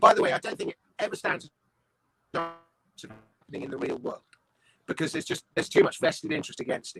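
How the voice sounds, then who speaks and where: With music in the background and a dry, close sound with no echo, a man in a southern English accent talks at a fairly quick pace, with long, frequent pauses and big swings in loudness. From London, England. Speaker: comedian, writer and voice-over artist. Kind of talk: interview answer. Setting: online video call.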